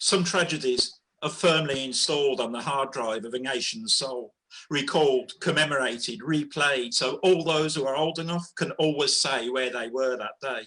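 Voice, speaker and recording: Someone with a Birmingham accent speaks at a moderate pace with ordinary pitch variation. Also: man, fairly high pitch for a man. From Birmingham, England. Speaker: poet. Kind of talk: spoken word poetry performance.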